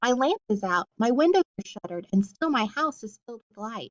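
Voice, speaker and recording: In a gruff, put-on character voice, the speaker moves at a fairly quick pace. The loudness swings widely. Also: woman, fairly high pitch for a woman. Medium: read story. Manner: gruff, curt.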